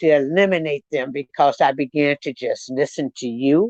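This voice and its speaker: The speaker keeps a moderate pace against a quiet background. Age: 60s. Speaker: panel guest, case follower. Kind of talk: live panel discussion.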